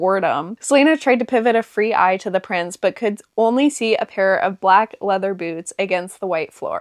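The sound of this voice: The delivery is an unforced reading voice with ordinary pitch variation.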